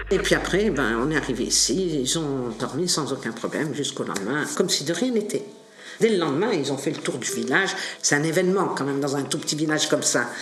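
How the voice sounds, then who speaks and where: Amid audible room echo and noticeable background noise, a woman with a very deep, low pitch talks at a fairly quick pace with lively intonation. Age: 70s. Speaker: adoptive mother, interviewee. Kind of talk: oral history interview.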